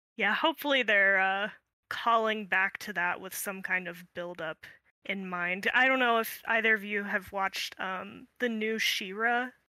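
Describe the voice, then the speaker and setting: At a fairly slow pace, a bright, sharp tone moves with ordinary pitch variation in a very clean recording with a silent background. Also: woman, medium pitch for a woman. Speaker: podcast co-host. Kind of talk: casual chat.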